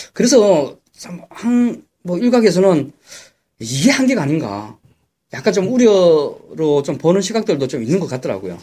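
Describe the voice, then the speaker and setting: Loud and high-pitched for a man, this speaker has a Gyeongsang accent, a dark, mellow tone, very wide pitch swings, a fairly slow pace and long, frequent pauses. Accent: Gyeongsang dialect Korean. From Gyeongsang, South Korea. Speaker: stock market commentator. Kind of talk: casual chat.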